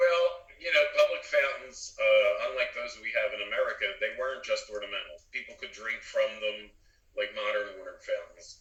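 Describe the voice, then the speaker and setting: A man speaks with a Philadelphia accent. His pace is moderate. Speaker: engineer and co-host. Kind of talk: casual chat.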